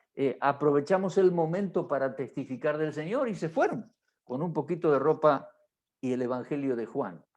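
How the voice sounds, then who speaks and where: Here a man with an ordinary speaking voice talks at a moderate pace, his fairly high pitch showing ordinary pitch variation. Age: 60s. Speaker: pastor. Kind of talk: marriage workshop teaching.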